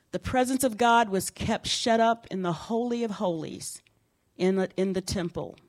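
Speaking at a moderate pace, a woman uses a normal speaking voice of medium pitch with ordinary pitch variation. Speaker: pastor. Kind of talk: sermon. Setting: church.

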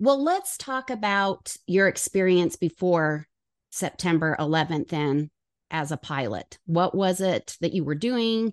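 A woman's ordinary speaking voice at a medium pitch, fairly slow, with lively intonation, dry and close with no echo against a quiet background. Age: 50s. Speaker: podcast host. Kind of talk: interview.

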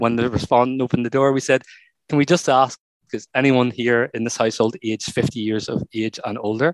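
A man with an ordinary speaking voice talks at a fairly quick pace in a medium pitch with ordinary pitch variation, recorded with a dry, close sound and no echo. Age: 40s. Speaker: psychology professor, researcher. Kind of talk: interview.

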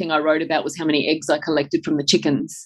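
A woman speaks in an Australian accent at a fairly low pitch. The background is quiet. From Australia, country New South Wales. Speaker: nutritional biochemist. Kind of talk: interview.

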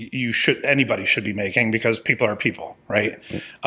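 A man with an American accent speaks at a medium pitch in a bright, sharp tone. His intonation is monotone and flat. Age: 50s. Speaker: sales trainer and executive coach. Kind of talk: casual interview chat.

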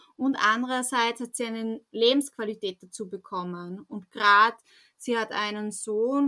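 This woman's voice sits fairly high, with ordinary pitch variation and a bright, sharp tone. She speaks at a fairly slow pace. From rural Austria. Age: 30s. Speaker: radio journalist. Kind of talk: interview.

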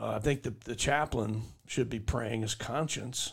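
Heard on a very clean recording with a silent background, a man talks at a moderate pace and medium pitch, with ordinary pitch variation and vocal fry. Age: 50s. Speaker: podcast host, army veteran. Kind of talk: casual chat.

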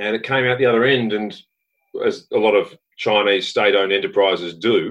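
A fairly quick pace in an Australian accent. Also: man. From Western Australia. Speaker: mining company director and geologist. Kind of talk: interview.

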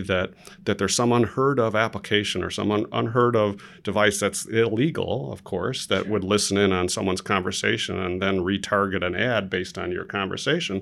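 A fairly quick voice with an American accent, in a very clean recording over a silent background. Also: man. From Chicago, Illinois. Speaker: marketing executive. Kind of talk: interview. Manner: halting, many repetitions.

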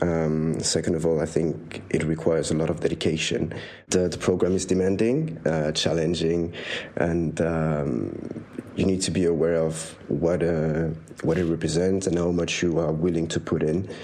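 Very deep and low, with a dark, mellow tone, a man's voice keeps a fairly even intonation at a moderate pace. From Switzerland. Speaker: master's student. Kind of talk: interview. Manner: hesitant, many fillers.

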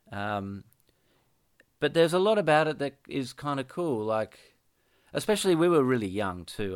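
A man talks at a moderate pace with an Australian accent. His pitch swings very widely. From Western Australia (Perth). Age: 30s. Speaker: musician. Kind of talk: casual interview. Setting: Skype call.

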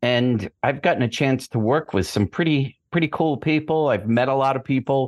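In a plain, everyday voice, a man with an American accent speaks at medium pitch and a moderate pace, with ordinary pitch variation, very even loudness and hardly any pauses, in a dry, close sound with no echo and a quiet background. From US Northeast, Boston. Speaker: screenwriter and author. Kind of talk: casual chat.

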